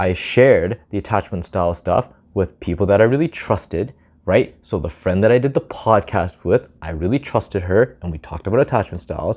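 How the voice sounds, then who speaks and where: Against a quiet background, a man talks at a fairly quick pace with very wide pitch swings. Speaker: vlogger giving social advice. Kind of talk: casual talking-head monologue. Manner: fast, sometimes slurred or mumbled; casual, filler-heavy.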